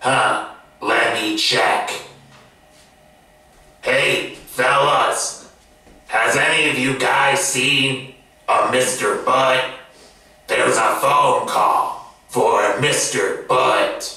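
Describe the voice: In a put-on character voice, a man speaks at a very slow pace with long, frequent pauses amid strong echo.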